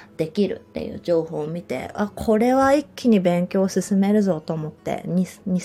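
With hardly any pauses, a woman talks at a moderate pace in a medium pitch, her tone relaxed, dark and mellow. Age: 30s. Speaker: yoga instructor. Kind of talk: casual monologue podcast. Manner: relaxed, laughs often.

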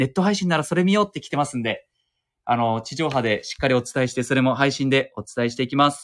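A man's medium-pitched voice at a very fast pace, with ordinary pitch variation, on a very clean recording with a silent background. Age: 30s. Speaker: TV news anchor. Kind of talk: casual chat. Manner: casual with filler words.

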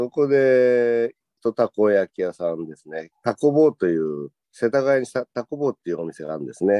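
A man of medium pitch talks at a moderate pace. His pitch swings very widely and his loudness shifts a lot. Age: 50s. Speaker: takoyaki shop owner. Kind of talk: casual chat.

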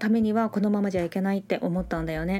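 Medium pitch and a dark, mellow tone in a female voice. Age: 50s. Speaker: yoga teacher. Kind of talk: casual solo talk. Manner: casual.

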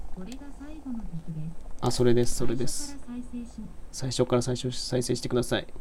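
At a moderate pace, the speech has long, frequent pauses and big swings in loudness. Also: man. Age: 20s. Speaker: livestreamer and university student. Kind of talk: casual livestream chat while gaming. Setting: live audio stream while playing a game. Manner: relaxed, laid-back.

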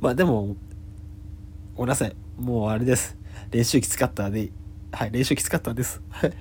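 Talking at a fairly quick pace, a man with a medium-pitched, somewhat breathy voice uses lively intonation and leaves long, frequent pauses. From Japan, Yamagata. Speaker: comedian. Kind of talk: solo podcast monologue. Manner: hesitant, many fillers.

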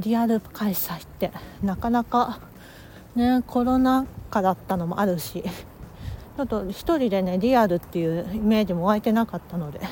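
A woman with a dark, mellow tone and a somewhat breathy voice talks at a moderate pace and medium pitch, using ordinary pitch variation. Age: 30s. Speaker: life coach and podcaster. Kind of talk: casual monologue. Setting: on the move.

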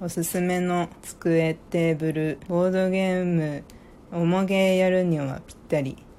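Fairly low-pitched female speech, relaxed in tone, at a fairly slow pace with monotone, flat intonation. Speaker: podcast host. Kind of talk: casual chat.

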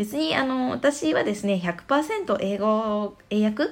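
Her intonation lively, a woman speaks at medium pitch in a plain, everyday voice. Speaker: parenting podcaster. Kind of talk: casual monologue. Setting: stand.fm podcast.

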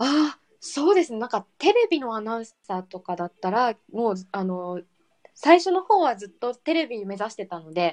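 Very wide swings mark the pitch. No echo colors the dry, close sound. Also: woman, fairly high pitch for a woman, moderate pace, big swings in loudness. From Okinawa, Japan. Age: 20s. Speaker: podcaster. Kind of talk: casual chat.

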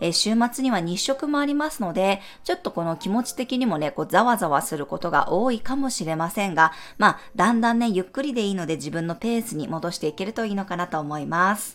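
A woman's medium-pitched voice with a gentle tone, very wide pitch swings and a fairly quick pace, on a very clean recording with a silent background. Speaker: astrologer and tarot reader. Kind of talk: daily horoscope podcast monologue. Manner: gentle, conversational with frequent ね fillers.

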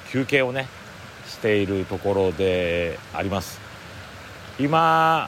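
A man's fairly low voice moves in very wide pitch swings. He leaves long, frequent pauses. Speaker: forest owner and podcaster. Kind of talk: solo outdoor audio diary. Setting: outdoors in a mountain forest.

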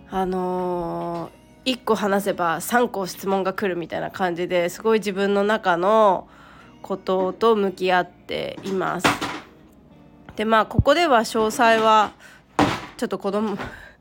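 A woman at a fairly slow pace and medium pitch, with fairly even intonation, big swings in loudness and music in the background. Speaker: solo podcaster, mother. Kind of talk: casual solo monologue. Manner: halting, many pauses and fillers.

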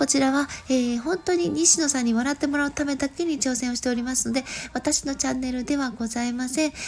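Over noticeable background noise, a woman speaks at a high pitch and a fairly quick pace. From Japan, Gifu. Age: 40s. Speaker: podcast host and dancer. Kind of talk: casual solo talk. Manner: polite, with many fillers.

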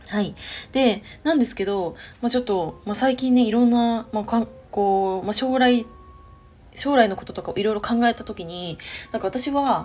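Amid noticeable background noise, a woman with a fairly high pitch speaks at a moderate pace, using ordinary pitch variation and big swings in loudness. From Chiba, Japan. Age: 30s. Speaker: podcaster and web writer, civil engineering worker. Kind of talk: casual solo podcast monologue. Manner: hesitant, many fillers.

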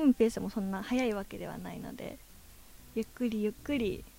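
A woman talks at a fairly quick pace in a fairly high, somewhat breathy voice. Her tone is dark and mellow, with fairly even intonation. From Japan, Ishikawa (Hokuriku). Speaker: adult video actress. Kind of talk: interview.

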